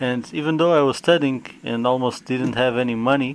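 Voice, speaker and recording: Fairly even intonation in a Portuguese accent, with noticeable background noise. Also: man. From Portugal. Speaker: gaming YouTuber. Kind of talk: unboxing video. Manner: hesitant, with fillers.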